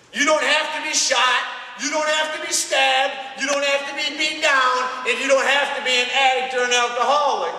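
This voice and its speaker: A raised, projected voice carries at a moderate pace with fairly even intonation. Audible room echo and noticeable background noise surround it. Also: man, extremely high pitch for a man. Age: 30s. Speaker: motivational speaker, recovering addict. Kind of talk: school assembly talk.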